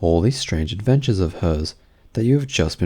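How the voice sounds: The speaker has a natural reading voice with lively intonation.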